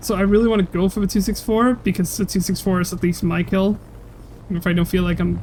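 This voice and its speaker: The speaker talks at a very fast pace with a non-native accent and fairly even intonation. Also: woman. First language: not English. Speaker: gaming streamer. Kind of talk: live gameplay commentary. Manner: halting, stumbling over words.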